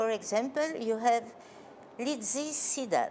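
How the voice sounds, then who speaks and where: A woman with a French accent, fairly high in pitch, at a very slow pace. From Belgium. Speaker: choreographer. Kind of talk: interview. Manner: halting.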